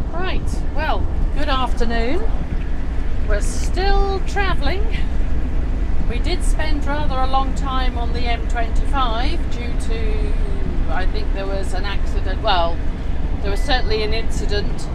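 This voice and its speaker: At a very slow pace with long, frequent pauses, a woman speaks over loud background noise. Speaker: travel vlogger. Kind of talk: casual vlog chat. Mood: cheerful, relaxed. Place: car. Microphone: phone near.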